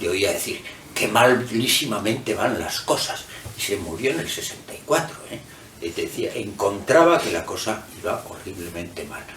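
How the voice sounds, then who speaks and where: A man with very wide pitch swings and big swings in loudness, over noticeable background noise with audible room echo. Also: medium pitch for a man, moderate pace. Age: 60s. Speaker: author and professor. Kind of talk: book presentation talk. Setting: hotel event room with audience. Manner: halting, with many fillers.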